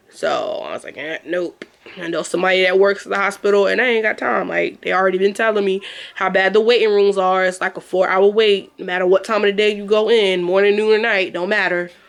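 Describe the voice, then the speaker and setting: Very fast speech from a woman at a medium pitch, noticeable background noise behind her. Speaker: vlogger. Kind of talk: casual vlog talk. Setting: home, sitting on a futon. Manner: animated.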